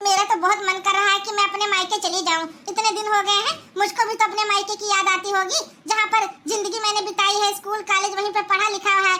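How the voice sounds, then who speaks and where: A woman's cartoonish character voice, extremely high in pitch, fairly quick, with monotone, flat intonation. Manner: plaintive, repetitive, questioning.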